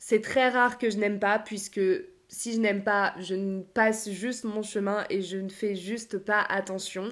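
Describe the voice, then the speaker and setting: A woman speaks very slowly at a medium pitch in a monotone, flat intonation, in a very clean recording with a silent background. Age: 20s. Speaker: life coach and podcaster. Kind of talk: solo podcast monologue.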